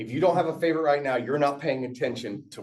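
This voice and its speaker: A man with an American accent speaks at a very fast pace. His pitch is fairly high. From Aberdeen, Scotland, raised in US. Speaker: tech presenter. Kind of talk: tech workshop talk. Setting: meetup room with audience. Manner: casual, animated.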